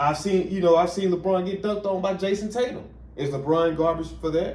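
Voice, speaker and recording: A man's dark, mellow tone carries with audible room echo. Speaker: sports reaction youtuber. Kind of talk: casual reaction commentary. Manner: animated; fast.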